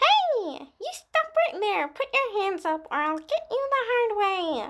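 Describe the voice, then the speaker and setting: In a put-on character voice, a woman speaks at a fairly slow pace with an extremely high, squeaky pitch. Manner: threatening, commanding.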